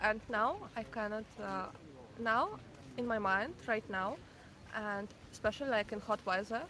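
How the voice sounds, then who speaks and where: A woman speaks in a Ukrainian accent at a fairly high pitch and a moderate pace. Her pitch varies in an ordinary way, with long, frequent pauses. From Ukraine, Kyiv. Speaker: passerby interviewee. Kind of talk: street conversation. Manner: halting.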